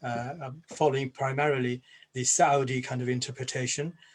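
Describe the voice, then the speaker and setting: A somewhat breathy man at a fairly quick pace. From Bangladesh, then England. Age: 60s. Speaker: Islamic scholar and former jihadist. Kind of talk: personal testimony at a panel event. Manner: hesitant, many fillers and repeats.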